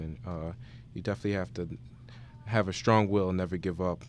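With an American accent, a man speaks at a very fast pace. His pitch is very deep and low. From New Jersey, South Orange. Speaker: university student. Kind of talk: radio interview. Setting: radio studio. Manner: halting.

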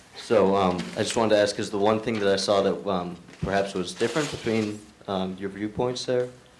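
Fairly low in pitch and fairly even in intonation, a man with an unremarkable speaking voice talks at a moderate speed. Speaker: student asking question. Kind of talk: audience question.

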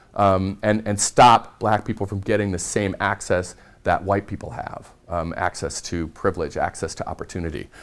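With a Midwestern American accent, a man speaks at a fairly low pitch and ordinary pitch variation. He keeps a moderate pace with hardly any pauses. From US Midwest, rural southwest Iowa. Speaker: lecturer. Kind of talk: lecture. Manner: halting.

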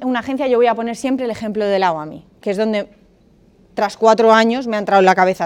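Speaking very fast, a woman uses a fairly high pitch with ordinary pitch variation. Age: 30s. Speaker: lawyer and master's program coordinator. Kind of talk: seminar talk to university students.

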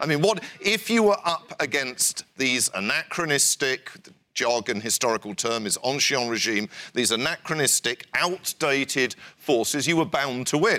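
On a very clean recording with a silent background and a dry, close sound with no echo, a man talks at a moderate pace with a fairly high pitch, very wide pitch swings and a bright, sharp tone. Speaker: historian. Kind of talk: lecture; audience Q&A. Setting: stage with audience.

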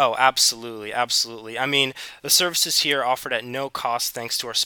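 Speaking at a very fast pace, a man with an American accent uses a medium pitch, a bright, sharp tone and monotone, flat intonation in a dry, close sound with no echo. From US South, South Carolina. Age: 20s. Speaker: student ambassador. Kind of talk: interview.

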